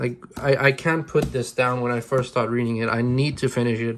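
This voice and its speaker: This man speaks with a Danish accent at medium pitch. His intonation is monotone and flat. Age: 20s. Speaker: manga YouTuber. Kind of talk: casual vlog review. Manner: halting, many restarts and fillers.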